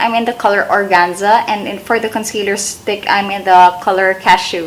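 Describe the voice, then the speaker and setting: A woman talks at a moderate pace, her intonation fairly even, against noticeable background noise. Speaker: beauty vlogger. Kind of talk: makeup tutorial. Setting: bedroom. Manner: slurred.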